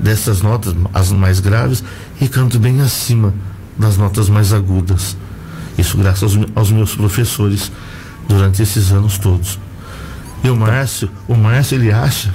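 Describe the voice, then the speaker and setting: Pausing long and often, a man speaks at a fairly slow pace and fairly low pitch, with fairly even intonation and very even loudness, in a room with audible echo and noticeable background noise. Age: 60s. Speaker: choir singer and teacher. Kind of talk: radio interview. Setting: radio studio.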